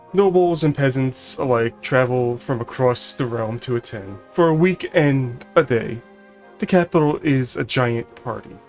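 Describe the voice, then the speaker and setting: Music plays in the background as a man speaks at a fairly slow pace. His medium pitch shows ordinary variation. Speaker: streamer reading game text aloud. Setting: livestream.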